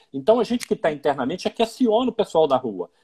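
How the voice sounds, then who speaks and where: A man speaks at a very fast pace with lively intonation and a dark, mellow tone, recorded with a dry, close sound and no echo. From Minas Gerais, Brazil (Belo Horizonte). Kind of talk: interview in a live stream. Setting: Instagram live video call.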